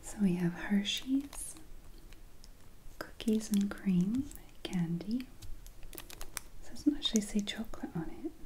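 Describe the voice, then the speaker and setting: Soft-spoken speech comes at a very slow pace with long, frequent pauses. Light background noise is present. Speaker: taste test host. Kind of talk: soft relaxing taste test chat. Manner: soft-spoken, hushed ASMR voice.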